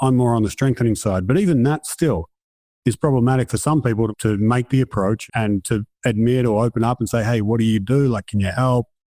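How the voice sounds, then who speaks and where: Against a quiet background, a man with a dark, mellow tone talks very fast at a medium pitch, with ordinary pitch variation, very even loudness and a dry, close sound with no echo. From outside North America. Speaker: performance psychologist. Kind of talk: casual interview.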